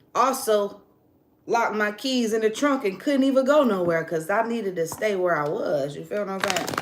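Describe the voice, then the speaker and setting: Lively intonation from a woman at a fairly high pitch, moderate in pace, with audible room echo and noticeable background noise. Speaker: tarot reader. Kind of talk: casual monologue storytelling. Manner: animated.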